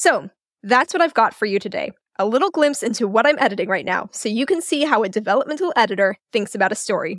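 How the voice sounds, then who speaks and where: In a dry, close recording with no echo, a woman talks very fast in an animated, fairly high voice with very wide pitch swings. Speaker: developmental editor, podcast host. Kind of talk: solo podcast tutorial.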